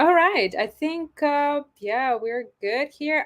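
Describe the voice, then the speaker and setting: A woman talks at a very slow pace. Her intonation is lively. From Ukraine. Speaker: English communication coach, stream host. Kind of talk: live stream interview. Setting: live stream.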